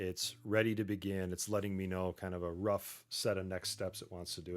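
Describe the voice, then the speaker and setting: Fairly quick male speech at a very deep, low pitch, on a very clean recording with a silent background. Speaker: tech streamer, Salesforce developer. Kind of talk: live-streamed coding session. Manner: casual, halting with fillers.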